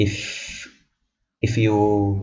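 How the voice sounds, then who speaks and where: Audible room echo surrounds a man whose fairly low voice is somewhat breathy. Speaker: student tutor explaining algorithms. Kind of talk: tutorial. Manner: halting, many repetitions.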